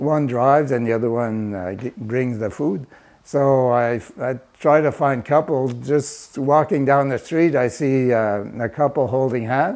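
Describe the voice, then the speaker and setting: A man at a medium pitch with a French Canadian accent, at a fairly slow pace with hardly any pauses and ordinary pitch variation. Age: 70s. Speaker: community volunteer. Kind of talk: interview. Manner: hesitant, many fillers.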